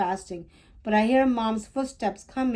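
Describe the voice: Someone reads aloud plainly. The pitch varies in an ordinary way.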